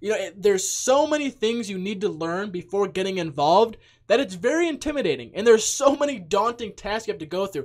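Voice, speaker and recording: Talking at a very fast pace, a man with a high pitch sounds animated, his intonation lively. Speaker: crypto YouTuber. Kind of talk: casual video commentary.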